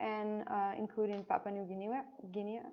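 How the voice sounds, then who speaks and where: The speaker is a woman with a French accent. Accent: French accent, English rusty. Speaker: biology student. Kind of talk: online Q&A session. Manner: halting, many fillers.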